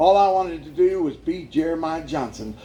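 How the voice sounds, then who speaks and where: With audible room echo and noticeable background noise, a man talks at a moderate pace in a high pitch with lively intonation. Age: 60s. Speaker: evangelist sharing life story. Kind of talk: testimony. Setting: church with audience. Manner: animated.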